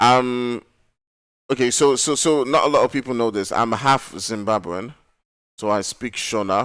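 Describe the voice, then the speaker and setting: Recorded very cleanly against a silent background, the voice moves at a fairly slow pace with fairly even intonation. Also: man. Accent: strong Nigerian. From Nigeria. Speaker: esports caster. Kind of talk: live commentary; casual chat.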